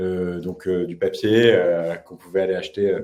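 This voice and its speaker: The man's voice has a dark, mellow tone. He talks at a moderate pace. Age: 20s. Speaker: YouTube journalist. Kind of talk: interview. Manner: halting, many fillers.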